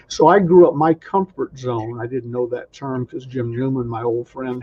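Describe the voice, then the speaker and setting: A man with an American accent speaks at a moderate pace in a medium-pitched, somewhat breathy voice with ordinary pitch variation. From US South, Atlanta. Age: 70s. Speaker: sales trainer. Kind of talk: interview.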